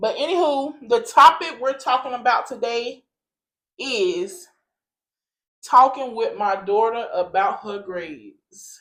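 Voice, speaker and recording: Very slow delivery with very wide pitch swings and big swings in loudness. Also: woman, high pitch for a woman. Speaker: podcast host, mother. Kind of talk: casual chat.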